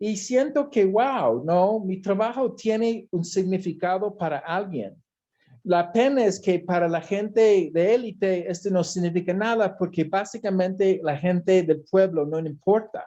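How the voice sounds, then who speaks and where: Against a quiet background, the speaker moves at a fairly slow pace. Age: 60s. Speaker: artist and talk host. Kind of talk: interview conversation.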